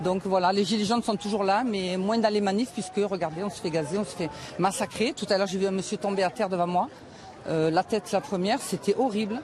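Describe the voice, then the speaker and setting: Over noticeable background noise, a woman at a medium pitch speaks fairly quickly with ordinary pitch variation. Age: 60s. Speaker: protester. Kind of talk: street interview. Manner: animated.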